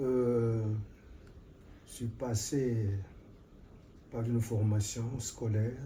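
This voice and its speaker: This man talks at a medium pitch with a monotone, flat intonation. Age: 80s+. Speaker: retired forestry official. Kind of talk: interview. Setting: at his home.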